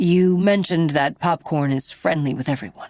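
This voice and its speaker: At a moderate pace, a woman performs in a put-on character voice. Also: fairly low pitch for a woman. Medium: read story. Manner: calm, probing.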